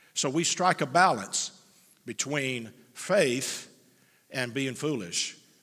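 Nothing much stirs in the quiet background. A man's voice is heard. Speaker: church pastor. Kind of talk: prepared statement to congregation. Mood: earnest, firm. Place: church. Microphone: headset.

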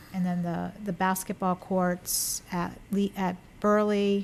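A woman's fairly low voice, monotone and flat, at a very slow pace. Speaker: town council chair. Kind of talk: council meeting discussion. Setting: town council meeting room, mic. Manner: hesitant, many fillers; louder than others.

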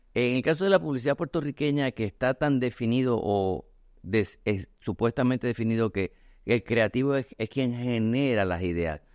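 A man at a medium pitch talks at a moderate pace with very wide pitch swings, his voice dry and close with no echo against a quiet background. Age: 50s. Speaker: artist and communications agency owner. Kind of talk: casual chat.

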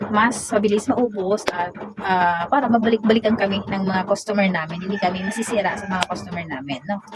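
Speaking fairly quickly at a medium pitch, a woman uses lively intonation over noticeable background noise. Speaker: sari-sari store owner and vlogger. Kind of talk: casual vlog. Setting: store at night, raining.

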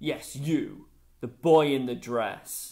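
A loud, booming put-on character voice from a man at medium pitch. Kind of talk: story reading with character voices. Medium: read story. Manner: harsh, bullying, barking orders. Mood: stern and commanding.

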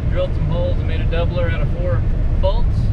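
A man's voice comes through dry, without echo, against loud background noise. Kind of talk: casual vlog chat. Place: car. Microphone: camera far.

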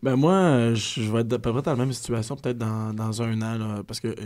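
The speaker has a Quebec accent and a dark, mellow tone with fairly even intonation. The recording is very clean, with a silent background. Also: man. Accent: Québécois French. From Quebec, Repentigny. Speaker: comedian. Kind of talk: casual chat. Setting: studio.

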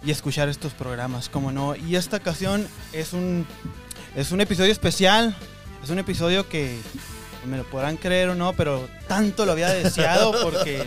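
Clear music plays behind a man with a high-pitched voice. The sound is dry with no echo, and he speaks at a moderate pace. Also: ordinary pitch variation. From Ciudad Juárez, Mexico. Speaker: podcast host / interviewer. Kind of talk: interview questions, casual conversation. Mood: enthusiastic, warm. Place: studio. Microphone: studio mic.

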